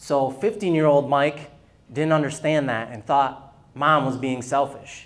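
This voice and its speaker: Using a normal speaking voice, a man talks at a fairly slow pace, fairly high in pitch with ordinary pitch variation. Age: 40s. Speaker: luncheon speaker. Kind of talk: testimony.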